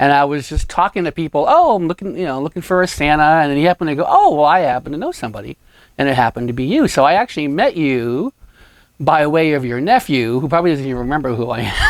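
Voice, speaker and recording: A man's fairly high voice at a very fast pace, dry and close with no echo. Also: ordinary pitch variation, very clean recording, silent background. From New England. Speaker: photographer and show host. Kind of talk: casual interview.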